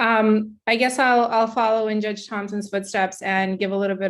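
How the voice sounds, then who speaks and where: A woman's fairly high-pitched voice with fairly even intonation at a moderate pace, a plain, everyday voice on a very clean recording with a silent background. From Brooklyn, New York (born in former Soviet Union). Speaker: judicial candidate, court attorney. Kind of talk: candidate forum opening statement.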